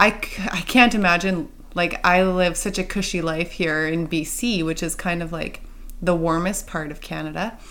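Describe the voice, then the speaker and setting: A woman with an unremarkable speaking voice talks at a moderate pace. Her fairly low pitch shows ordinary variation. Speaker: podcast host. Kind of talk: casual interview.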